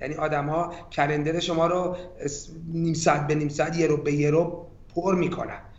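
A man talks at a moderate pace, his voice carrying audible room echo against noticeable background noise. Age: 40s. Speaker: tech strategy executive. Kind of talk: interview.

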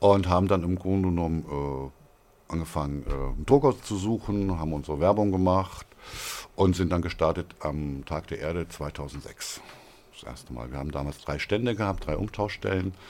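A man's very deep, low voice at a moderate pace. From northern Hesse, Germany (near Kassel). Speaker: regional currency founder. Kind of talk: interview. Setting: studio. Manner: hesitant, many fillers.

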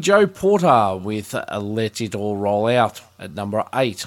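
A man with an Australian accent swings his pitch very widely. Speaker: radio host. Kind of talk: radio DJ patter, friendly and welcoming, introducing songs. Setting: studio. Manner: relaxed, upbeat, chatty; clear, brisk announcer delivery.

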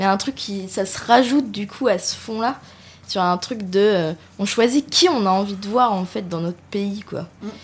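Pitch varies in an ordinary way in this somewhat breathy voice. The delivery is fairly slow. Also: woman, medium pitch for a woman. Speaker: radio panelist. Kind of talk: casual discussion.

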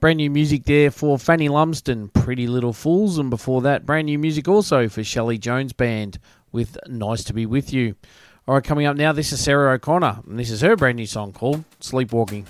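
Speaking at a fairly quick pace, a man with an Australian accent has a medium pitch in a very clean recording with a silent background. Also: ordinary pitch variation. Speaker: radio host. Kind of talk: radio dj patter, introducing tracks. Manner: upbeat, chatty, friendly.

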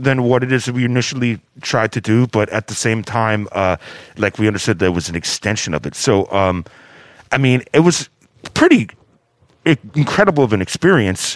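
Speaking in a plain, everyday voice with an American accent, a man keeps a moderate pace at medium pitch. The sound is dry and close with no echo, in a very clean recording with a silent background. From US. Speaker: DJ. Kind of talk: casual chat.

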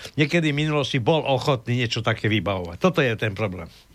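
A man speaks with very wide pitch swings. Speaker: radio co-host. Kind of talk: political discussion.

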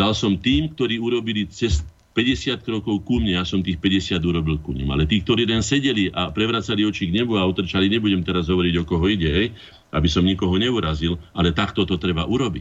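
Talking very fast, a man uses a very deep, low voice with ordinary pitch variation. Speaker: artist and former MP. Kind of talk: radio talk show.

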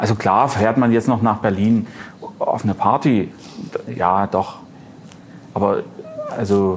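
Delivery comes at a fairly slow pace with long, frequent pauses, fairly even intonation and very even loudness. Noticeable background noise runs underneath. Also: man, fairly low pitch for a man. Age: 40s. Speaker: record dealer and collector. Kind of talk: casual chat. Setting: club venue.

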